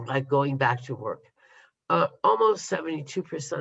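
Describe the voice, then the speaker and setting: Vocal fry colors a man's fairly high-pitched voice. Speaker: telework consultant. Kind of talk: webinar presentation. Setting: video call. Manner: hesitant, many fillers.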